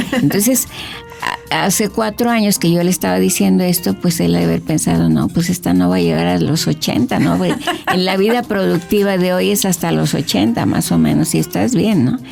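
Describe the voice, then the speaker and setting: A woman at a moderate pace, her loudness very even, with music in the background. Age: 70s. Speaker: cook and cooking school owner. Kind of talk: radio interview.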